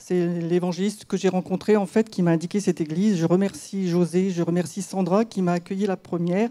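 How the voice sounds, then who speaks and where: A dark, mellow tone with fairly even intonation. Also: woman. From rural France. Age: 60s. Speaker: church member giving testimony. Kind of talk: testimony. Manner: halting.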